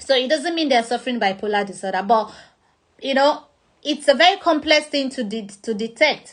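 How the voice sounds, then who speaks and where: With lively intonation, a woman speaks fairly quickly in a high pitch. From Nigeria. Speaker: motivational speaker. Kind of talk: talk on mental health. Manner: loud; halting.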